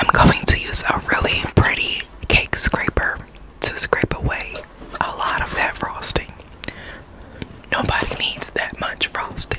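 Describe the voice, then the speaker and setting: A woman whispers at a fairly slow pace, leaving long, frequent pauses. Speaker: cake decorator. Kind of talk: ASMR baking talk. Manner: whispered.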